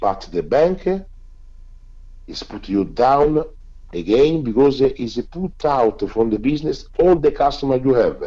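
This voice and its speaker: At a fairly slow pace, a man with a dark, mellow tone leaves long, frequent pauses. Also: fairly high pitch for a man, lively intonation. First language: not English. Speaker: filmmaker. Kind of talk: interview. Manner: halting.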